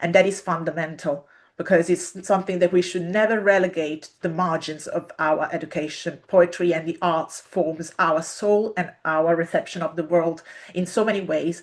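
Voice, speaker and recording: A woman with an Italian accent, fairly low in pitch, flat and monotone at a moderate pace. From Italy. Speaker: literature researcher and poet. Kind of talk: interview talk. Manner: hesitant, many fillers.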